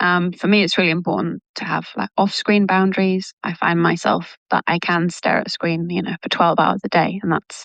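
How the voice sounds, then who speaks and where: A woman with a British accent speaks at a moderate pace with hardly any pauses. Her pitch is fairly low and her intonation fairly even. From England, Manchester. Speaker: language coach. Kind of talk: casual interview.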